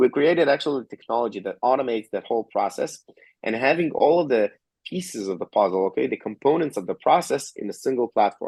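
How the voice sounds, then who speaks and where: A man with a fairly high voice, very fast delivery and lively intonation, in a dry, close sound without echo. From Georgia (country), later Israel. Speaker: tech company co-founder and CTO. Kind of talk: interview. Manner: frequent fillers and tag questions.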